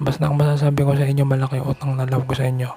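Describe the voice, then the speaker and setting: A man rushes along at a very fast pace in a medium pitch, his intonation monotone and flat. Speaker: vlogger. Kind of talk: personal vlog monologue. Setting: outside a house at night. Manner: soft-spoken, can't speak loudly; halting.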